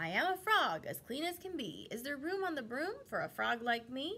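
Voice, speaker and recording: A woman uses a croaky, put-on character voice at a high pitch with very wide pitch swings, speaking at a moderate pace over clear background noise. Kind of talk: rhyming children's story. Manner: polite, cheerful.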